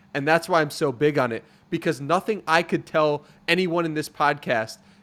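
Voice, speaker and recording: A man talks at a moderate pace in a plain, everyday voice. His pitch is fairly high, with ordinary variation. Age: 20s. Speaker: podcaster and writer. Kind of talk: interview conversation. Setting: video call.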